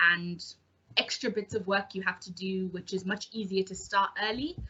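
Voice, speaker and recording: Against noticeable background noise, a woman at medium pitch talks at a moderate pace with an English accent. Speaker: junior doctor. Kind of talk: panel talk. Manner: hesitant, many ums.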